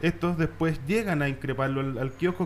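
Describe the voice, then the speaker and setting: A man talks at a very fast pace with ordinary pitch variation. Light background noise can be heard. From Chile, Valparaíso; Chile. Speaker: radio talk show host. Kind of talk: panel discussion. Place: studio. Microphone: studio mic.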